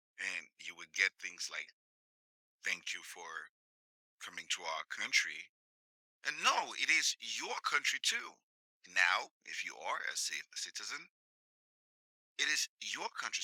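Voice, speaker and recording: A man with an African accent, a fairly slow pace, and a dry, close sound with no echo. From sub-Saharan Africa. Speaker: podcast host. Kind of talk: monologue commentary.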